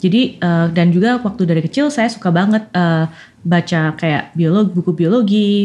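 The voice is somewhat breathy, with very even loudness and a moderate pace. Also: woman, fairly low pitch for a woman, ordinary pitch variation. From Indonesia, Malang (East Java). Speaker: scientist. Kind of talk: interview. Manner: frequent code-switching into English.

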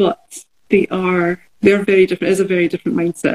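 With a Glaswegian accent, a woman speaks at a fairly quick pace in a medium pitch, her dark, mellow tone somewhat breathy, the sound dry and close with no echo. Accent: Glaswegian Scottish. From Scotland, Glasgow. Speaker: artist. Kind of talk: casual chat. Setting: video call from studio.

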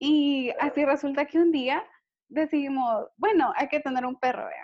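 At a fairly slow pace, a woman talks with a high pitch. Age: 20s. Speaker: university student and dog owner. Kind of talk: casual interview chat.

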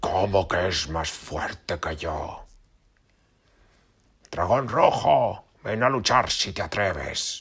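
A man's put-on character voice, very deep and low, very slow, with long, frequent pauses. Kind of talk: bedtime story. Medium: read story. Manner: boastful, mocking, roaring.

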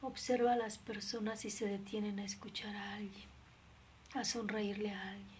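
Over noticeable background noise, a woman of medium pitch talks at a moderate pace in a monotone, flat delivery. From Mexico. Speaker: nun. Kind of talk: spiritual reflection livestream. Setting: live stream.

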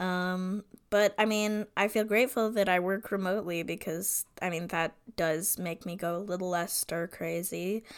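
Recorded very cleanly over a silent background, a woman with a normal speaking voice talks at a moderate pace and medium pitch with fairly even intonation. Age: 20s. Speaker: podcast co-host. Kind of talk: casual chat.

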